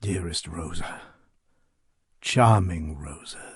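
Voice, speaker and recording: A man speaks in a put-on character voice. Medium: read story. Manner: intense, controlled, menacing.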